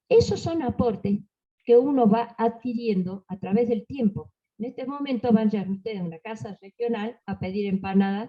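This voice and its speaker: The voice is somewhat breathy. Its tone is dark and mellow. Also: woman. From Argentina, Salta. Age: 70s. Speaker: panelist on folk tradition. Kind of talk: panel talk. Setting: library panel with audience.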